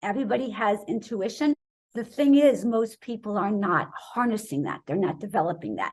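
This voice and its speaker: A woman speaks with lively intonation, a fairly high pitch and a somewhat breathy sound. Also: moderate pace. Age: 60s. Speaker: wellness author, raw vegan doctor. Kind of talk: interview. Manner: animated.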